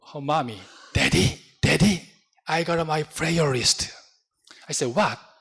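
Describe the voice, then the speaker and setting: A man speaks with a Korean accent. His pitch sits fairly high for a man. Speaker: pastor. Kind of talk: sermon. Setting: church. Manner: halting.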